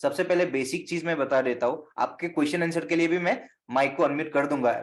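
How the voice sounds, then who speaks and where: Here is a man with an unremarkable speaking voice and a fairly high pitch. He keeps a moderate pace and fairly even intonation. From Assam, northeast India (Guwahati). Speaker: astrologer. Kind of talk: online teaching session.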